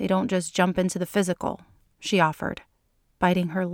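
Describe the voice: Plain reading aloud comes across over a quiet background.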